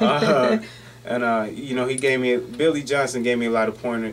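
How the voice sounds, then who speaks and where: A man with an American accent speaks at a moderate pace. Audible room echo and noticeable background noise fill the recording. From Philadelphia and Myrtle Beach, South Carolina. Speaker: professional football player. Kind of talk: interview.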